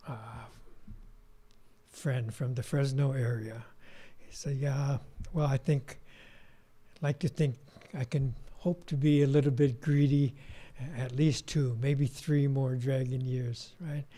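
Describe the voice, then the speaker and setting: A man speaks very slowly with long, frequent pauses, at a fairly high pitch in a dark, mellow tone. His voice is somewhat breathy, with big swings in loudness. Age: 70s. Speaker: Buddhist minister giving dharma talk. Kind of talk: dharma talk. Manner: casual, conversational.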